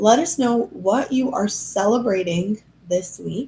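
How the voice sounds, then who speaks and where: Her voice is fairly high in pitch and somewhat breathy. This woman's pitch swings very widely. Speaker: human design coach. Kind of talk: live stream Q&A. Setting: live stream. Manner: chatty.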